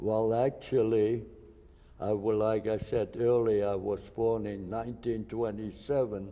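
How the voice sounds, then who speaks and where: Very slowly and in a monotone, flat delivery, a man with a German accent speaks in a dark, mellow, fairly low voice. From Germany, Hesse. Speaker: Holocaust survivor. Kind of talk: interview testimony.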